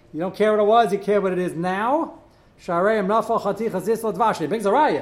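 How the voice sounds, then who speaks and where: With audible room echo, a man talks at a very fast pace in a high pitch with ordinary pitch variation. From New York, Brooklyn. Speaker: rabbi teaching a kashrus class. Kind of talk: lecture.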